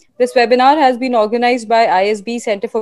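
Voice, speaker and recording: A woman at a very fast pace, in a dry sound with no echo. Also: quiet background. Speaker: webinar host. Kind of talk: formal introduction. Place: home room. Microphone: earbuds.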